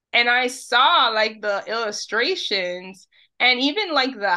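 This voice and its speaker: Over a quiet background, a woman with a New York accent speaks very slowly in a bright, sharp tone, her fairly high pitch making very wide swings. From New York City, Dominican family. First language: Spanish. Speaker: social media creator on Dominican Spanish. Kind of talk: casual interview.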